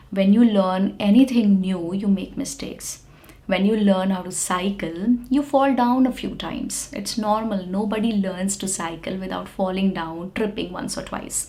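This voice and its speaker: With an Indian accent, a woman of medium pitch talks in a relaxed tone with ordinary pitch variation, big swings in loudness and hardly any pauses, amid noticeable background noise and audible room echo. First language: Hindi. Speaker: English teacher. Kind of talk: lecture. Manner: slow; relaxed, clearly enunciated.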